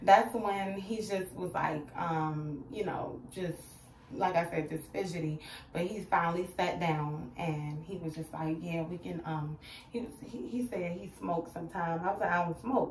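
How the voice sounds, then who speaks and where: A woman's fairly low voice with ordinary pitch variation at a fairly slow pace, audible room echo and light background noise. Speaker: vlogger. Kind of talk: casual storytime vlog chat. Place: bathroom. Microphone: phone near.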